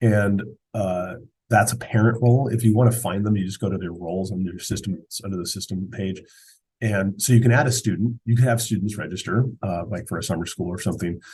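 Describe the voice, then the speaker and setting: Fairly even intonation marks this somewhat breathy voice. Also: man. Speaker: school software administrator. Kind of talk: screen-share tutorial. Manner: fast; casual, halting with fillers.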